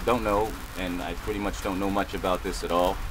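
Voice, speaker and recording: Noticeable background noise runs beneath the speech. Its pitch rises and falls in an ordinary way. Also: man. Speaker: bowyer hobbyist, video maker. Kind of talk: tutorial. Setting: indoors in a cabin. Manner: loud; halting.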